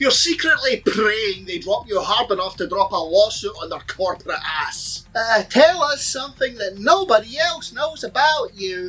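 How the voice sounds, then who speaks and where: In a Scottish accent, a raised, projected voice swings very widely in pitch with hardly any pauses, over noticeable background noise. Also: man, extremely high pitch for a man, moderate pace. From Scotland. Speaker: comedian. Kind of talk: comedy rant.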